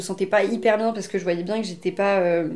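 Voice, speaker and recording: Her intonation is fairly even. The woman's pitch sits in the medium range. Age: 30s. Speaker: naturopath. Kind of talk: interview testimony. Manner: hesitant, many fillers.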